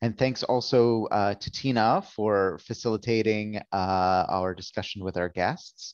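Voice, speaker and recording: Speaking with a normal speaking voice, a man talks at a fairly slow pace and a fairly low pitch, with ordinary pitch variation and hardly any pauses. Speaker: event organizer. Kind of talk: event moderation. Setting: video call.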